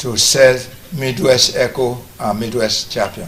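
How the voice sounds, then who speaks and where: A man with a medium pitch and ordinary pitch variation speaks at a fairly slow pace through noticeable background noise. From Nigeria, Benin City, Edo State. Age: 80s+. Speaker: retired teacher, military officer and businessman. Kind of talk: TV interview. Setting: his family house.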